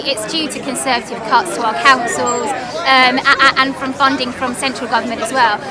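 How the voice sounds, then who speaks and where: Over crowd noise and audible room echo, a woman speaks in a raised, projected voice at a fairly quick pace, her high pitch showing ordinary variation. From southern England, Harlow, Essex. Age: 30s. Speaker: parliamentary candidate. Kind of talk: interview.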